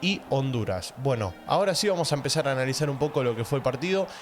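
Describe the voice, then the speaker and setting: A man races along at a very fast pace with lively intonation, noticeable background noise behind him. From Argentina. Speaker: football reaction youtuber. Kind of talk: football match analysis vlog. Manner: speaking quietly.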